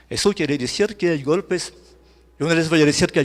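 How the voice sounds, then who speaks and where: In a French accent, the voice moves with ordinary pitch variation on a very clean recording with a silent background. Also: man. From France. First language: French (speaking Spanish). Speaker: journalist and lecturer. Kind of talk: lecture. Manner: halting, self-correcting.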